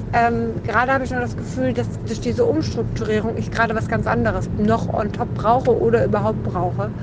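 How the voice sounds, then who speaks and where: Hardly pausing, a woman talks at a fairly quick pace through audible room echo and noticeable background noise. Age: 30s. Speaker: podcaster. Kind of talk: personal monologue. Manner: halting.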